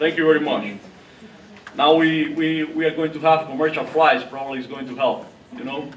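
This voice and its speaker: With a Cuban accent, a man speaks in big swings of loudness and long, frequent pauses, amid audible room echo and light background noise. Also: ordinary pitch variation. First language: Spanish. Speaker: diplomat. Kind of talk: lecture. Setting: stage with audience. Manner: halting, repeats words. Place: hall. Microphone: podium.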